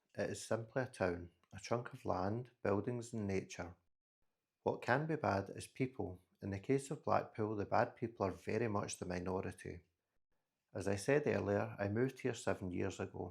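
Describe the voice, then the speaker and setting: Delivered at a moderate pace with ordinary pitch variation, the speech comes in a Scottish accent on a very clean recording with a silent background. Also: man, fairly low pitch for a man. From Scotland. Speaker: podcast host. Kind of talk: solo podcast monologue.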